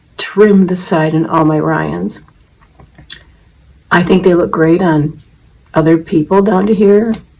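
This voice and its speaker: A woman's fairly low, fairly slow speech with ordinary pitch variation and long, frequent pauses, over noticeable background noise. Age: 70s. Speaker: wig-wearing video blogger. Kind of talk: tutorial. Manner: casual, conversational with fillers.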